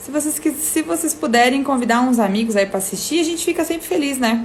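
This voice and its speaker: Her high voice swings very widely in pitch as the woman speaks at a moderate pace. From Rio Grande do Sul, Brazil (Serra Gaúcha). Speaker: live stream host. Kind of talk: casual live stream chat. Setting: Instagram live video stream.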